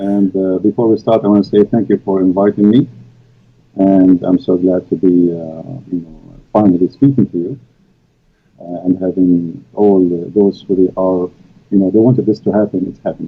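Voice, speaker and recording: The speaker has an Arabic accent and a moderate pace. The intonation stays fairly even. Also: man, very deep, low pitch for a man. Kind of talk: interview answers. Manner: hesitant, many fillers.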